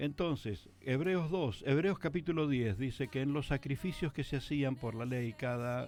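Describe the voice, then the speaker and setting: Over music in the background, the speaker goes at a fairly slow pace with ordinary pitch variation. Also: man. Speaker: pastor. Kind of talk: radio talk on faith. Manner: fluent, no stutter.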